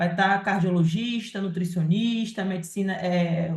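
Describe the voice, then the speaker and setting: In a room with audible echo, a woman speaks at a medium pitch, somewhat breathy, with ordinary pitch variation and a fairly slow pace. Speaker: live session host and moderator. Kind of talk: live Q&A and event announcements. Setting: live stream.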